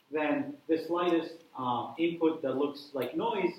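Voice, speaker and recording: A man with a non-native accent and a fairly high pitch speaks at a moderate pace with ordinary pitch variation, amid noticeable background noise and audible room echo. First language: not English. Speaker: university lecturer, researcher. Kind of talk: lecture. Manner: hesitant, many fillers.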